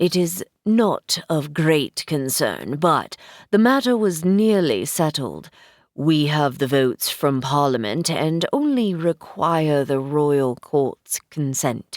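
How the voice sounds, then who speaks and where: A woman puts on a character voice with a very deep, low pitch and lively intonation at a fairly slow pace. Her loudness stays very even, and the recording is very clean, dry and close, with no echo and a silent background. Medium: read story. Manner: formal, haughty.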